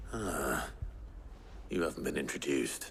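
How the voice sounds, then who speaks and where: A man does a put-on character voice, raspy and very deep. He talks at a moderate pace over clear background noise. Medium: video game. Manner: gruff, wry.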